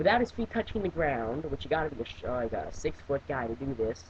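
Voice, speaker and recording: A man at a very fast pace, with very wide pitch swings and vocal fry. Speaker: webcam wrestling reviewer. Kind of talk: casual video review monologue. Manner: halting, many fillers and restarts.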